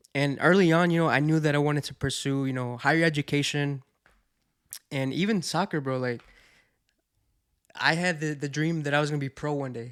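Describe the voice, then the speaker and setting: With a slight Spanish accent, a man speaks at a fairly high pitch and with fairly even intonation. Long, frequent pauses break up his speech in a very clean recording over a silent background. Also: fairly quick pace. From Mexico, raised in the US from age five. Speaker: podcast guest, childhood friend. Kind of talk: casual chat.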